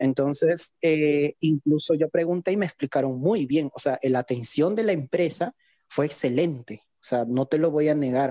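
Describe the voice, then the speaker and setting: Heard dry and close with no echo, a man with a fairly high voice and a dark, mellow tone speaks at a moderate pace, with ordinary pitch variation and big swings in loudness. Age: 20s. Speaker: blind physiotherapy student. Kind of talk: online panel discussion.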